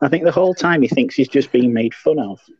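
Fairly high in pitch and quick in pace, this man has an unremarkable speaking voice with lively intonation. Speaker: podcast co-host. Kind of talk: casual chat.

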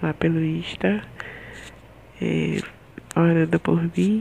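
A woman speaks at a very deep, low pitch with very wide pitch swings. Light background noise is present. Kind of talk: casual vlog chat. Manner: weak, drowsy post-surgery voice. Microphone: earbuds.

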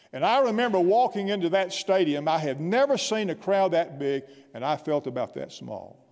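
Against a quiet background, a man with a South Carolina accent speaks at a moderate pace with lively intonation. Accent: Southern US (South Carolina). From US South, upstate South Carolina (Anderson). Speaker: guest pastor. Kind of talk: sermon. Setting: church. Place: church. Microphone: podium.

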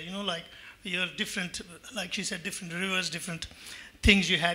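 Raising and projecting his voice, a man speaks at a high pitch. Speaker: audience member. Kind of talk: audience question. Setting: stage with audience.

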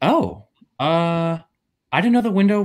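A man's high pitch with very wide swings against a quiet background. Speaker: actor, workshop participant. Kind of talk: comedy scene reading. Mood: awkward, hesitant. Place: home room.

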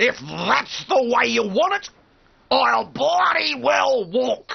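A cartoonish character voice, raised and projected, at a very slow pace. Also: man, extremely high pitch for a man, very even loudness. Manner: angry, swearing, exasperated.

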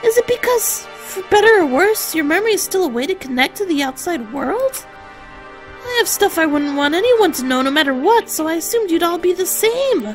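Over clear background music, a put-on character voice at extremely high pitch runs at a fairly quick pace. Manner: mock-dejected, whiny.

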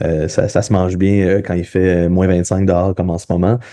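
A man with a Quebec accent, very deep and low in pitch, dark and mellow in tone, with fairly even intonation over a quiet background. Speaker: podcast host and physiotherapist. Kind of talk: interview conversation. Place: home room. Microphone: video call.

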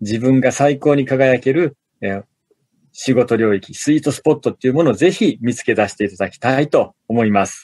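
This is an unremarkable speaking voice at a fairly quick pace. Pitch varies in an ordinary way, while loudness swings a lot. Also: man, medium pitch for a man. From Osaka, Japan. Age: 40s. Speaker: business author and corporate manager. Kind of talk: casual interview.

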